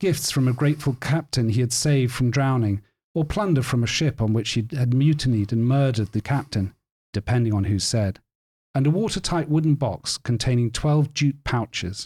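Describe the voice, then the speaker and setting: With a dark, mellow tone, a man's somewhat breathy, medium-pitched voice moves at a moderate pace with lively intonation and very even loudness, captured in a very clean recording against a silent background. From Cork, Ireland. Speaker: literary editor. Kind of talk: casual chat.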